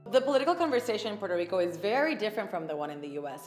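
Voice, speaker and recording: A woman talks while music plays faintly behind her. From Puerto Rico. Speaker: actress and TV host. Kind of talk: interview answer. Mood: thoughtful, calm. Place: studio.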